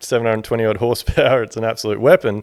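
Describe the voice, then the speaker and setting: This man speaks in an Australian accent. His pitch sits in the medium range. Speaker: builder and podcast host. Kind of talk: solo podcast talk. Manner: casual, candid, profane.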